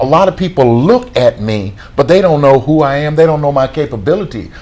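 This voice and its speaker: A man with a fairly high voice speaks at a fairly quick pace, his pitch swinging very widely. Noticeable background noise runs underneath. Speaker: pastor. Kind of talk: interview.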